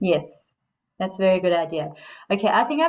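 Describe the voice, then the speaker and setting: A woman with a medium pitch speaks at a very fast pace in a South African accent. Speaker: coach. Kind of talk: casual chat.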